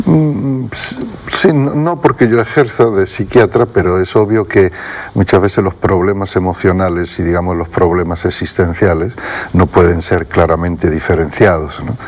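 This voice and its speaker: A man with a very deep, low pitch and lively intonation at a moderate pace, with noticeable background noise. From Andalusia, Spain (Utrera, Seville). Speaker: Zen Buddhist teacher. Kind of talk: TV interview.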